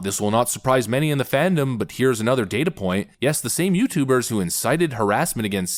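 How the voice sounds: Lively intonation in a natural reading voice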